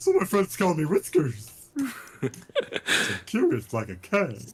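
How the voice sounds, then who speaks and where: At a fairly slow pace, someone does a put-on character voice at a middle pitch. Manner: playful, curious.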